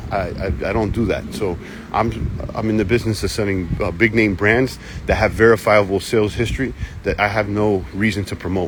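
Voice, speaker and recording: Through noticeable background noise, a man speaks at a fairly low pitch with ordinary variation. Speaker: online reseller hosting live Q&A stream. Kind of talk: live stream Q&A. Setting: live video stream. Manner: stutters, hesitant repetitions; energetic, hyped.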